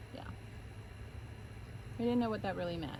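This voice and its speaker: A woman is heard with noticeable background noise. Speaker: farm animal sanctuary co-founder. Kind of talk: casual chat.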